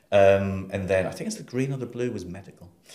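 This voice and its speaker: In a northeast English accent, the dark, mellow voice races at a very fast pace with ordinary pitch variation and audible room echo. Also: man. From northeast England, Sunderland. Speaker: library director. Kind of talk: interview.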